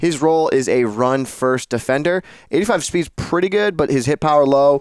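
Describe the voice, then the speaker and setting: Speaking at a moderate pace in a Massachusetts accent, a man with a fairly high pitch keeps very even loudness and ordinary pitch variation, with a dry, close sound and no echo. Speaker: video game podcast co-host. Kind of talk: casual gaming discussion.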